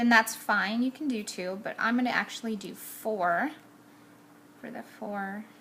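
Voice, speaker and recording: Noticeable background noise accompanies a woman of fairly high pitch speaking at a fairly slow pace with fairly even intonation. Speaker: card-making crafter. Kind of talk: tutorial. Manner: casual, chatty.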